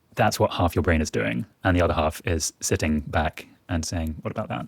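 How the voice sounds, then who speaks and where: A man with a southern English accent, very deep, low pitch and vocal fry at a fairly quick pace, on a very clean recording with a silent background. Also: ordinary pitch variation, dry, close sound with no echo. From England, near Oxford. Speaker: magazine fact checker. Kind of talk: interview.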